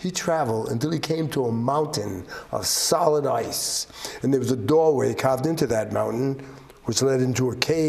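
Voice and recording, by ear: Ordinary pitch variation in a natural voice reading aloud.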